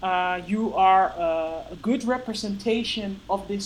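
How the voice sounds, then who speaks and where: The pace is fairly slow as this woman talks. Her pitch is medium, with ordinary variation. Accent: Dutch. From Netherlands. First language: Dutch. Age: 30s. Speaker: powerlifter. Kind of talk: casual chat. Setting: video call. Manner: halting.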